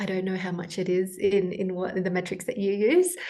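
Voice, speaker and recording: In an Australian accent, a woman talks at medium pitch and a moderate pace. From Australia (Sydney), born in Peru. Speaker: health coach. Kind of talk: interview, personal story.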